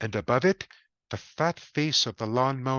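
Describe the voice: A quiet background behind plain reading aloud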